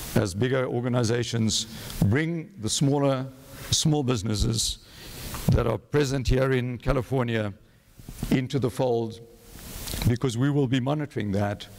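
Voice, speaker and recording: A man at medium pitch and moderate pace, ordinary pitch variation, long, frequent pauses, and noticeable background noise. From South Africa. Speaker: rail authority CEO. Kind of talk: conference presentation.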